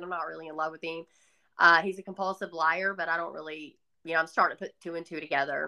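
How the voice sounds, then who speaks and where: The voice has a Southern US accent and a bright, sharp tone. Intonation is fairly even, on a very clean recording with a silent background. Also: woman. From US South. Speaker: author. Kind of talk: testimony.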